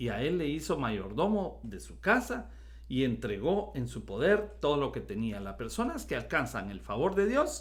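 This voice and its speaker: Amid audible room echo, a man speaks fairly slowly with big swings in loudness. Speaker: pastor. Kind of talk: sermon. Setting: recorded video.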